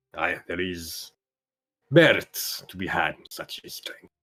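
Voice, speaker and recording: A man performs in a put-on character voice. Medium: actual play. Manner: formal, solemn.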